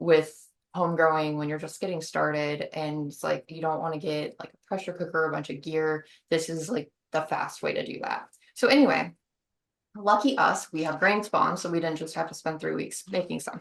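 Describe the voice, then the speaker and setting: A woman's pitch is very deep and low. It varies in an ordinary way. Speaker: mushroom growing instructor. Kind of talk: online workshop tutorial. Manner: fast.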